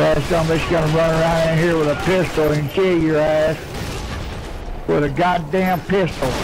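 A man speaks with a Southern US accent at a moderate pace. Noticeable background noise runs underneath. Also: fairly high pitch for a man. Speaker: online game player. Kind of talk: casual in-game voice chat. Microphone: headset.

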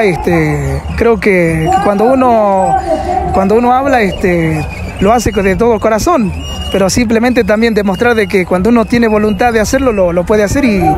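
At a moderate pace, a man speaks in a high pitch with ordinary pitch variation. Noticeable background noise is present, but the sound is dry with no echo. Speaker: radio announcer. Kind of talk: interview answer. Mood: cheerful, smiling. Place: street. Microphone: handheld.

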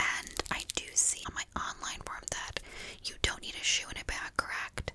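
At a fairly slow pace, a woman whispers. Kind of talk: roleplay consultation talk. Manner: soft, gentle ASMR speaking voice. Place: home room.

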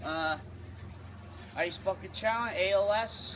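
A man talks while noticeable background noise is present. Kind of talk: casual vlog chat. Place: garden. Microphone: camera far.

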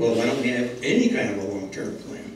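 Audible room echo and light background noise surround a man talking at a fairly quick pace. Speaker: guest lecturer. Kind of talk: lecture. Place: hall.

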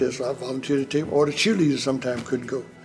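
A man talks with fairly even intonation. Faint music plays in the background. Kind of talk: interview answer. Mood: fond, amused storytelling. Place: hall.

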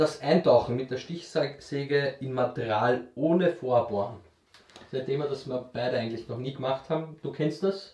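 In an Austrian accent, a man with a fairly high, somewhat breathy voice speaks at a moderate pace with ordinary pitch variation, and audible room echo surrounds him. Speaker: YouTube woodworking channel host. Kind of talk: casual Q&A chat. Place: workshop.

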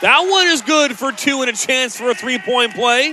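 In a raised, projected voice with an extremely high pitch, a man speaks at a fairly slow pace, the sound dry with no echo and light background noise present. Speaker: basketball play-by-play announcer. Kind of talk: live sports commentary, highlight-reel play-by-play. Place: stadium. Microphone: headset.

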